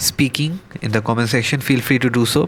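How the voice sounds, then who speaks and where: A man of medium pitch in a Bengali accent, fairly even in intonation, with noticeable background noise. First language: Bangla. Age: 20s. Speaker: gaming vlogger. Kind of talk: unscripted gameplay commentary. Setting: home recording with microphone. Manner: halting.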